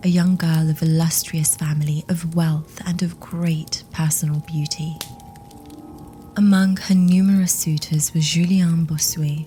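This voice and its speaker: Over music in the background, a woman with a fairly low pitch speaks at a fairly slow pace in a monotone, flat intonation. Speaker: ASMR horror story narrator. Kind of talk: ASMR horror story reading, sleep-friendly. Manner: whispered, gentle, soothing.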